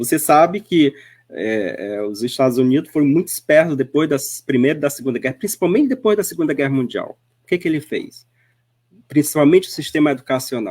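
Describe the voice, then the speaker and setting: A man speaks at a fairly quick pace in an ordinary speaking voice, pitched fairly high. His intonation is lively. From Northeast Brazil. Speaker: spiritist speaker. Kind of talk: radio interview. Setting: web radio.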